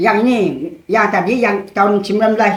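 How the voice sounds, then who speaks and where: A woman at medium pitch talks in a space with audible room echo. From Indonesia, West Kalimantan, Kapuas Hulu. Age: 70s. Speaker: village elder, former customary leader. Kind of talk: casual interview about local lore.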